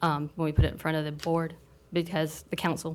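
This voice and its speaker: A woman with a Southern US accent, fairly low in pitch, fairly quick, and flat and monotone in intonation. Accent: Southern American. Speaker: planning commissioner. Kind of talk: public meeting discussion. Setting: city planning commission meeting. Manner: loud.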